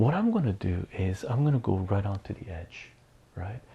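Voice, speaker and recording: On a very clean recording with a silent background, a man speaks in a somewhat breathy voice with lively intonation. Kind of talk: ASMR math lesson, casual teaching talk. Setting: studio, close-mic ASMR recording.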